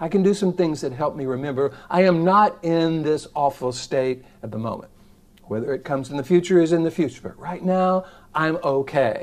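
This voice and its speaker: A man with a plain, everyday voice talks at a moderate pace, his pitch fairly high with ordinary variation. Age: 60s. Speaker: psychologist and self-help video host. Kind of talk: direct-to-camera self-help talk. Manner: casual, conversational.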